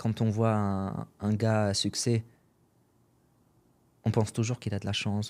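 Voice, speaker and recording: A man's fairly low voice with a dark, mellow tone and an Arabic accent. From Syria. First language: Arabic (speaking French). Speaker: entrepreneur and podcaster. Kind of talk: podcast interview. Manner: casual, hesitant with fillers.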